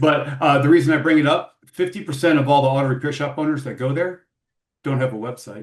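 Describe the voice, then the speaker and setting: The man talks at a very fast pace. His voice is somewhat breathy, with fairly even intonation. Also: fairly high pitch for a man. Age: 60s. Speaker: podcast host. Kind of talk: interview. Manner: casual, halting with repetitions.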